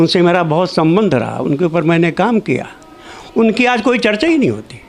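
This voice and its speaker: Music plays in the background. A man talks in a high pitch with lively intonation. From Lahore. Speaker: diplomat and scholar of diaspora literature. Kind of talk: conference talk.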